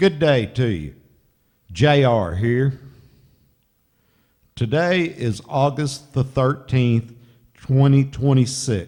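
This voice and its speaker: A man with a medium pitch and a dark, mellow tone speaks at a very slow pace, using ordinary pitch variation and long, frequent pauses. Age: 60s. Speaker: funeral escort driver and vlogger. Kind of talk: casual narration while driving.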